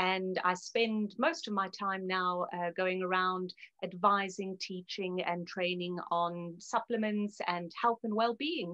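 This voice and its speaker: The speaker talks very slowly with a South African accent, hardly any pauses and fairly even intonation. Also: woman, medium pitch for a woman. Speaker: naturopath. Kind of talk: interview.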